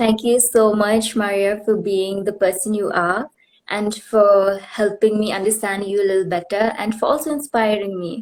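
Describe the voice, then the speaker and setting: A woman with a northeastern Indian accent speaks at a moderate pace, her medium-pitched voice keeping a fairly even intonation. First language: Khasi. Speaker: livestream host, former pageant winner. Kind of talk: casual interview on livestream. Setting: Instagram live video call.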